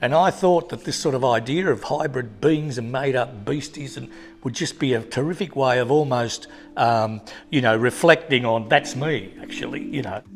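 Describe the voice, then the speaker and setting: Over music in the background, a man with an Australian accent talks at a moderate pace, his pitch medium and its variation ordinary. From Tasmania, Australia (Hobart). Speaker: artist. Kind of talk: interview. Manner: halting.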